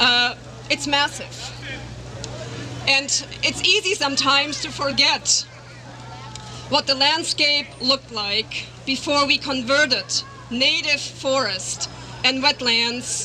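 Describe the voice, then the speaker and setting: Against crowd noise in the background, a woman with a German accent projects a raised, high-pitched voice at a very slow pace with long, frequent pauses. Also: ordinary pitch variation. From Germany. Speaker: biologist and animal rights campaigner. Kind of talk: rally speech. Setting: outdoor rally in a park.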